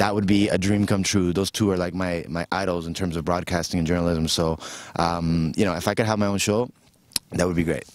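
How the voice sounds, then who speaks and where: His pitch is very deep and low. The man talks at a fairly quick pace with fairly even intonation. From Argentina. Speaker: rapper and motivational speaker. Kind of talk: interview answer. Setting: outdoors.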